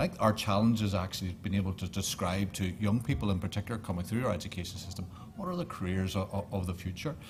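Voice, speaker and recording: A man with a Northern Irish accent talks at a very fast pace in a fairly low, somewhat breathy voice, his intonation fairly even and hardly any pauses breaking it up. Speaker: government official. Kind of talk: panel discussion.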